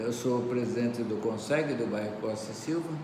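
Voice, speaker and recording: Noticeable background noise and audible room echo around a man's voice, medium in pitch, its intonation fairly even. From Brazil, São Paulo city. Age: 80s+. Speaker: community security council president. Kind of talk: interview.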